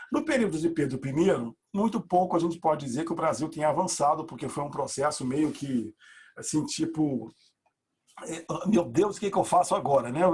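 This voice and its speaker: His pitch is fairly high. The man speaks with lively intonation. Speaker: university professor. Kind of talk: lecture. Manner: fast; animated.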